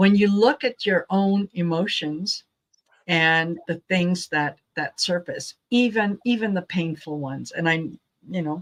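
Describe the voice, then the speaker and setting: In a dry, close sound with no echo, a woman speaks at a fairly slow pace with a medium pitch and ordinary pitch variation. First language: not English. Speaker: tarot channel host. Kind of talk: casual interview chat.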